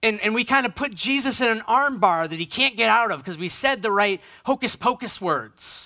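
A man's high, bright, sharp voice, raised and projected, with lively intonation, a moderate pace, hardly any pauses, a dry, close sound with no echo, and a very clean recording over a silent background. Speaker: pastor. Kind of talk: sermon. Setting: church. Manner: loud.

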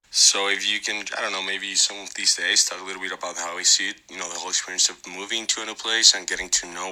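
Against noticeable background noise, a man with a Spanish accent talks at a fairly quick pace in a very deep, low pitch. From Mexico City. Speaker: listener. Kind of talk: voice message. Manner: halting.

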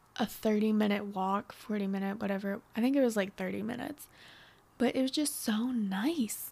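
With an American accent, the speaker uses a plain, everyday voice. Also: woman. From northwestern Pennsylvania. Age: 20s. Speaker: podcast host. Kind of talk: solo casual monologue. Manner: chatty, upbeat.

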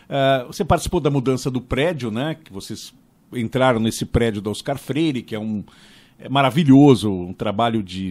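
An unremarkable speaking voice from a man, medium in pitch, lively in intonation and moderate in pace. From Brazil (São Paulo, Bom Retiro). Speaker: podcast host. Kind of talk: interview conversation.

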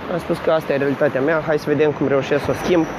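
A man's fairly high pitch at a very fast pace, with fairly even intonation and noticeable background noise. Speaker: podcast host. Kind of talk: casual monologue. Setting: outdoors, walking to work.

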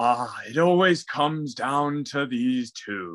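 A put-on character voice with lively intonation at a very slow pace. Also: man, fairly high pitch for a man.

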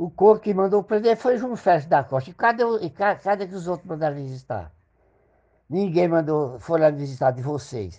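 With a dark, mellow tone, a man speaks at a high pitch with lively intonation. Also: moderate pace. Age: 70s. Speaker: father and grandfather. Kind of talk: angry rant. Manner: loud.

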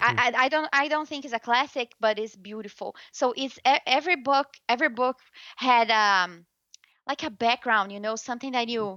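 Against a quiet background, a woman with a slight Brazilian accent speaks at a high pitch and moderate pace, her bright, sharp tone showing ordinary pitch variation in a dry, close sound with no echo. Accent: light Brazilian Portuguese-accented English. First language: Portuguese. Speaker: journalist. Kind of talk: interview. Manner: halting, with frequent repetitions and fillers.

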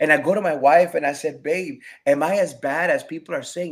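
With an American accent, a man at a fairly high pitch speaks with lively intonation and some vocal fry. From Rochester, New York. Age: 40s. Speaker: pastor. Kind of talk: testimony.

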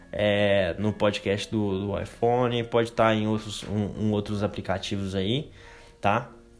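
At a fairly slow pace, a man uses an unremarkable speaking voice at a medium pitch. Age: 20s. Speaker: podcast host. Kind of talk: casual monologue. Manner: casual, filler-heavy.

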